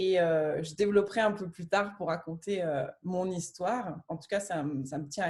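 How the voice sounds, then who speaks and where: This woman's voice is somewhat breathy. She talks at a moderate speed, her pitch varying in an ordinary way. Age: 30s. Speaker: near-death experiencer and coach. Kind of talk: testimony in a conversation.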